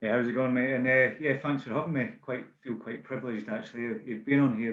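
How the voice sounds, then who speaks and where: A medium-pitched man in a Scottish accent. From Scotland, Bannockburn near Stirling. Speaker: safety manager, ex-army train driver. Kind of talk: podcast interview. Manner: hesitant, many fillers.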